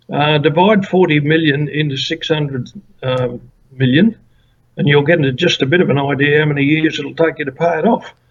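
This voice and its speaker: With an Australian accent, a man speaks at a fairly quick pace in a somewhat breathy, fairly high voice with ordinary pitch variation. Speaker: former political candidate. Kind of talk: interview.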